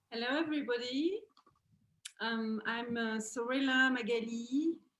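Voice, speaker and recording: A woman speaks with a French accent at a high pitch. Her pace is fairly slow, and her pitch varies in an ordinary way. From France. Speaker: dance teacher. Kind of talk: dance tutorial. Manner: halting.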